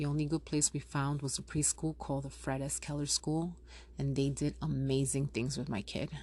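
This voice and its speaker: A woman with a New York accent speaks at a moderate pace over a quiet background. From Yonkers, New York. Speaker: furniture store owner, podcaster. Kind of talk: casual podcast talk. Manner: chatty.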